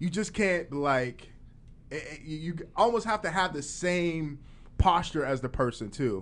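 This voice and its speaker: A man with an American accent and a normal speaking voice talks at a fairly slow pace with a fairly high pitch and lively intonation, over a quiet background. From Farrell, Pennsylvania. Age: 40s. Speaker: podcast co-host and DJ. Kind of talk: casual interview. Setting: studio.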